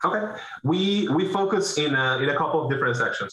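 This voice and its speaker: With lively intonation, a man delivers his words at a medium tempo. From Venezuela. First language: Spanish. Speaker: business owner, roofing contractor. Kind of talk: interview. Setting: video call.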